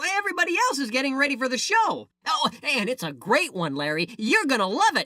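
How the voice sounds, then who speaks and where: A cartoonish character voice speaks in a high pitch at a fairly quick pace. There are hardly any pauses. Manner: earnest, a bit fussy.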